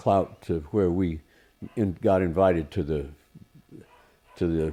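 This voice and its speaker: The speaker is a man with an American accent. His tone is dark and mellow. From Gaza Strip and US, American parents. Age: 70s. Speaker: screenwriter. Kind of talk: interview conversation. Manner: hesitant, many fillers.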